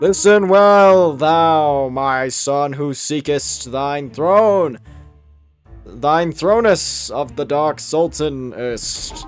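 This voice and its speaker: A man puts on a character voice, speaking very slowly with ordinary pitch variation over faint background music. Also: fairly high pitch for a man. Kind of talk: archaic, pompous.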